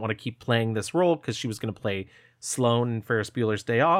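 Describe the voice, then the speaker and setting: A man speaks with an American accent in a plain, everyday voice, medium pitch and ordinary pitch variation. The recording is very clean with a silent background. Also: dry, close sound with no echo. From upstate New York, small town. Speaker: film podcast co-host. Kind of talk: casual chat.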